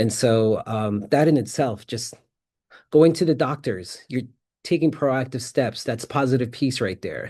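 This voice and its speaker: The voice has a dark, mellow tone and is somewhat breathy. It carries an American accent over a quiet background. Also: man, medium pitch for a man, ordinary pitch variation, fairly slow pace. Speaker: peacebuilding practitioner, conference presenter. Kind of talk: conference presentation.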